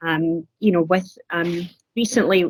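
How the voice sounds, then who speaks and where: In a slight Scottish accent, a woman speaks at a medium pitch, recorded with a dry, close sound and no echo. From Scotland, Glasgow. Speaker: council community services officer. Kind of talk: webcast interview. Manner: halting, many fillers.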